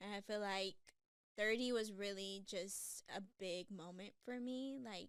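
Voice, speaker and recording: A woman with an American accent and a normal speaking voice, fairly high in pitch, at a fairly slow pace with fairly even intonation. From Texas, Houston. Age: 30s. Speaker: podcast co-host. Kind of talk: casual chat.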